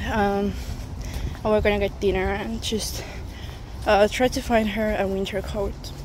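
Fairly slow pace against noticeable background noise. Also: woman, dry sound with no echo. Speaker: student vlogger. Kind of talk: casual vlog chat. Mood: relaxed and cheerful. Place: street. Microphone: phone near.

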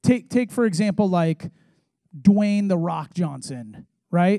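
In an American accent, a man with a high pitch and a dark, mellow tone speaks at a moderate pace with lively intonation. The sound is dry with no echo against a quiet background. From San Diego, California; California. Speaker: youth pastor; pastor. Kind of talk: sermon. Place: church. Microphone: handheld.

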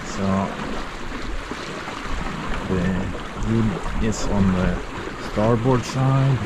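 A man speaks over loud background noise, his voice dry with no echo. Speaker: solo sailor vlogger. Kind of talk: casual vlog commentary. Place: boat. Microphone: phone near.

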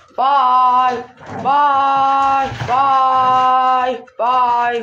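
A put-on character voice, high-pitched and monotone, with flat intonation. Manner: cute, high-pitched doggy voice.

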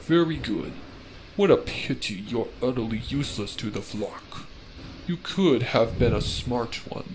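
At a fairly slow pace and a medium pitch, a man speaks with lively intonation over clear background noise. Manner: sneering, mock-courteous, gleeful.

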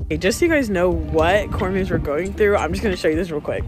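The sound is dry with no echo, while loud music plays in the background. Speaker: vlogger. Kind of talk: casual vlog chat. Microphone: phone near.

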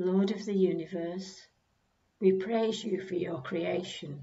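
A woman speaks at a very slow pace in a somewhat breathy, fairly low voice with fairly even intonation. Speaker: churchgoer leading prayers. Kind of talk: prayer reading. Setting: church.

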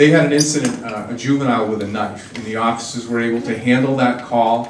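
Over light background noise and audible room echo, a man talks at a very fast pace in a monotone, flat intonation. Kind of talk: public speech. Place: hall.

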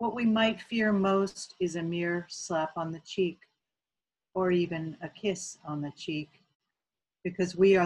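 Over a quiet background, a woman speaks at a fairly slow pace in a fairly low pitch with ordinary pitch variation. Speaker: local poet. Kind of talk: poetry reading of her own sestina, with a short spoken introduction. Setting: video recording for an arts festival. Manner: measured, earnest, rallying tone, with repeated refrain words. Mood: measured, reflective. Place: home room. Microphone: webcam.

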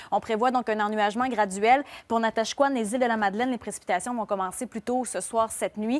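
In a Quebec accent, a woman talks at a fairly quick pace with a fairly high pitch and fairly even intonation. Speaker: TV weather presenter. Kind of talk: live televised weather report with co-host banter. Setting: TV studio. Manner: brisk, rattling off regions and snowfall totals; self-deprecating, laughs off a word-finding stumble. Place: studio. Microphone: lapel.

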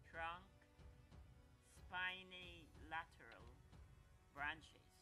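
With clear music in the background, a man speaks at a very slow pace. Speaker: plant enthusiast narrator. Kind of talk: documentary narration with pauses. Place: garden.

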